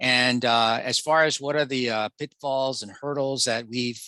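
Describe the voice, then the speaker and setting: A man speaks in a bright, sharp tone with monotone, flat intonation. The background is quiet. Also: dry, close sound with no echo. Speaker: physician. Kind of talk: webinar Q&A. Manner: halting.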